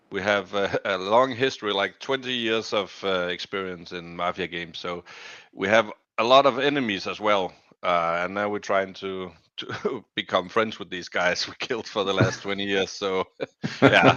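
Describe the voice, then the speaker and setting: A speaker with a Danish accent talks at a moderate pace. The pitch moves up and down by an ordinary amount. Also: man, fairly low pitch for a man. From Denmark. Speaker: crypto gaming community member. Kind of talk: interview. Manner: halting.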